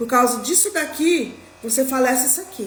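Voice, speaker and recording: Speaking at a moderate pace, a woman uses a high pitch and lively intonation. The recording has audible room echo and noticeable background noise. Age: 40s. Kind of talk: live religious talk. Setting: livestream.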